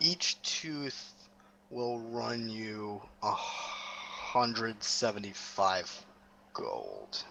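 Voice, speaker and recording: In a put-on character voice, a man speaks at a very slow pace. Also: medium pitch for a man. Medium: actual play.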